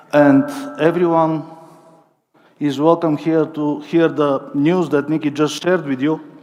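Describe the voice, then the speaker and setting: A man with a Bulgarian accent speaks at a fairly slow pace in a fairly high-pitched, flat monotone. Long, frequent pauses break up his speech. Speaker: company network coordinator. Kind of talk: corporate presentation. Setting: stage with audience, livestream.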